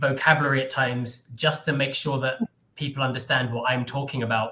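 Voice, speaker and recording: A man with an English accent speaks in a bright, sharp tone at a fairly high pitch. His intonation stays monotone and flat. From England. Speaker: English tutor. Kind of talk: casual conversation on a live stream.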